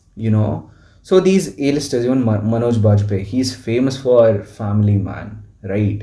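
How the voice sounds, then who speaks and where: This man talks at a fairly slow pace in a fairly low, dark, mellow voice that is somewhat breathy, with ordinary pitch variation. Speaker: podcast host. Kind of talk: casual chat.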